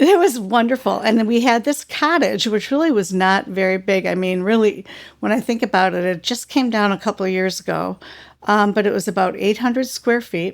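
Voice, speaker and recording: On a very clean recording with a silent background, a woman with a normal speaking voice talks at a fairly quick pace at medium pitch, with ordinary pitch variation. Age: 60s. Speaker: adoptee sharing life story. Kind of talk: interview testimony.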